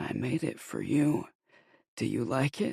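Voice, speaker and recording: Here a man performs a put-on character voice at a medium pitch. He keeps a fairly slow pace. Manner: eerie, menacing.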